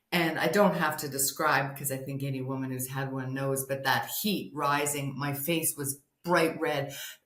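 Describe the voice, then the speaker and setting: With audible room echo, a woman talks at a very deep, low pitch, hardly pausing at all. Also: fairly even intonation, moderate pace. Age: 60s. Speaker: hormone health and sex therapist. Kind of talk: interview testimony.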